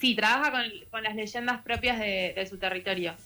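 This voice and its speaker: Fairly quick speech from a woman with a Rioplatense accent, bright and sharp in tone, medium in pitch, with ordinary pitch variation. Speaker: radio book columnist. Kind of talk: radio book review segment.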